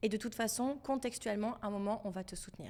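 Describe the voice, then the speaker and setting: Speaking at a moderate pace, a woman has a medium pitch, a dark, mellow tone and ordinary pitch variation. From France. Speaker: financial educator for women. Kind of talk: podcast interview.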